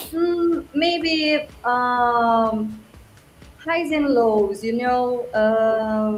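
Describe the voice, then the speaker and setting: In a Portuguese accent, a woman speaks at a fairly high pitch with ordinary pitch variation. Music plays behind her, and there is audible room echo. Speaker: music track judge. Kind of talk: panel critique. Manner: halting.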